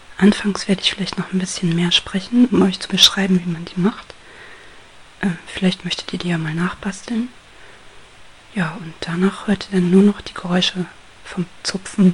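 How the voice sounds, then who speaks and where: A woman speaks in a gentle, calm tone at a medium pitch with fairly even intonation. Her loudness swings widely, and she leaves long, frequent pauses. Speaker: ASMR crafter. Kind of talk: ASMR whisper tutorial, hushed craft explanation. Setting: home recording with microphone, guinea pigs rustling. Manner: soft-spoken, slow and gentle, calm; halting, with pauses and rustling paper sounds.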